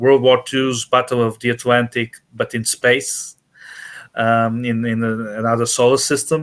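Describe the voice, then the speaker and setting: On a very clean recording with a silent background, a man with a Portuguese accent speaks at a fairly slow pace in a medium pitch and a monotone, flat intonation. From Portugal. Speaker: author. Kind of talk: interview. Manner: halting, many fillers.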